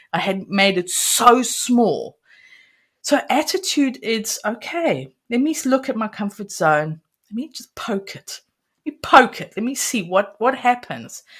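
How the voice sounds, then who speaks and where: Over a very clean, silent background, a woman with a fairly high pitch and vocal fry speaks fairly slowly, her pitch swinging very widely and her loudness rising and falling sharply. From South Africa. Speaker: confidence coach. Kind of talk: interview, teaching a framework.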